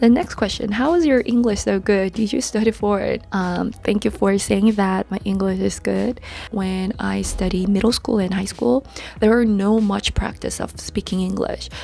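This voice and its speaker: A woman keeps a moderate pace as noticeable background noise runs beneath her. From South Korea. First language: Korean. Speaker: YouTuber and English teacher. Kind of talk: Q&A vlog.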